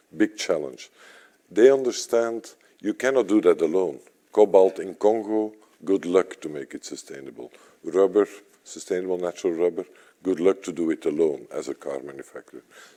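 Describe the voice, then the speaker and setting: The speaker has a European accent and a moderate pace, heard with a dry, close sound and no echo. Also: man. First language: not English. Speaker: sustainability network executive. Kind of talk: panel discussion. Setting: stage with audience.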